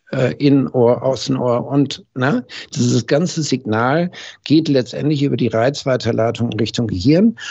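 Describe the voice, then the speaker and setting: This man speaks at a fairly slow pace and a medium pitch, with ordinary pitch variation. His loudness stays very even. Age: 60s. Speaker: hearing acoustics company founder, former master optician. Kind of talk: casual interview. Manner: frequent hesitation fillers.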